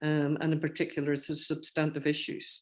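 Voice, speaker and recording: Here is a woman with a very deep, low pitch. The background is quiet. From Northern Ireland, rural County Londonderry. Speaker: professor and peace activist. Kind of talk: guest talk with Q&A at an online seminar.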